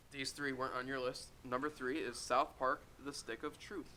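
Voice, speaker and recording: A man with a bright, sharp tone and medium pitch speaks fairly slowly with fairly even intonation. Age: 20s. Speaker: podcast co-host. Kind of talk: casual chat.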